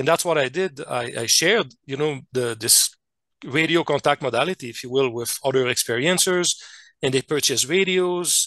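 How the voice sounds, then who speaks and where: At a moderate pace and with ordinary pitch variation, the speaker talks with a French Canadian accent, recorded dry and close with no echo over a quiet background. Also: man. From Quebec / French Canada. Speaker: scientist and contact experiencer. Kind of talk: interview presentation. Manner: halting, many fillers and restarts.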